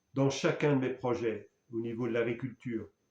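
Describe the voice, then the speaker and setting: With a dark, mellow tone and medium pitch, a man speaks at a moderate pace with fairly even intonation. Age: 60s. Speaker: spiritual speaker. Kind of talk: personal testimony. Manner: halting.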